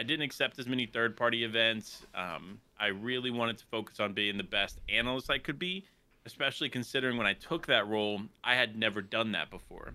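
Pitched at a medium level, a man speaks at a fairly quick pace. His pitch variation is ordinary. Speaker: esports caster and content creator. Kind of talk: casual podcast interview. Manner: animated, excitable.

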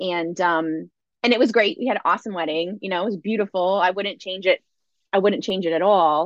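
A woman with a plain, everyday voice, medium in pitch, with ordinary pitch variation and a fairly quick pace. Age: 40s. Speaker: wellness leader and former yoga teacher. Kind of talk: casual chat.

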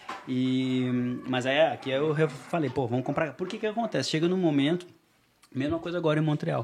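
Speaking at a middling speed, a man uses a somewhat high pitch. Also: ordinary pitch variation. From southern Brazil, Porto Alegre. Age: 30s. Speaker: expatriate NGO worker. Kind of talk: casual chat.

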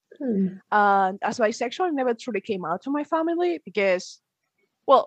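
A woman with a Spanish accent speaks at a fairly high pitch with very wide pitch swings. The sound is dry and close with no echo, over a quiet background. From Spain, Galicia. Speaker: university student. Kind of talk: interview.

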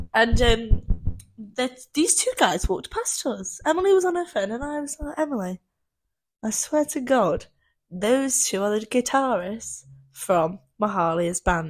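On a very clean recording with a silent background, a woman speaks fairly slowly at a fairly high pitch with very wide pitch swings. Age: young. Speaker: podcast co-host. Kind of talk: casual chat. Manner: loud. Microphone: new microphone.

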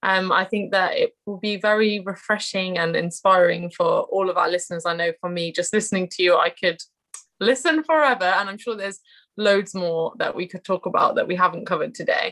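A woman with a British accent at a fairly quick pace. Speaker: trainee educational psychologist and podcast host. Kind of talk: interview. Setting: video call.

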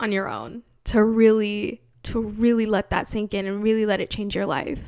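A woman speaks at a fairly slow pace. She has an unremarkable speaking voice. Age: 20s. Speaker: podcast host. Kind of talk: casual monologue. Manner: frequent laughter.

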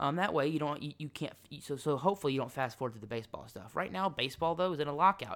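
On a very clean recording with a silent background, a man talks at a very fast pace. His fairly high voice has lively intonation. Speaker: sports podcast host. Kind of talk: solo sports commentary monologue. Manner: rambling, self-correcting.

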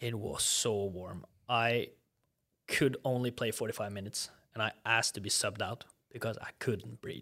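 A man with a Norwegian accent, bright and sharp in tone, at a moderate pace with fairly even intonation. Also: medium pitch for a man, very clean recording, silent background. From Norway. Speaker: former college soccer player. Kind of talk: casual interview chat. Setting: studio.

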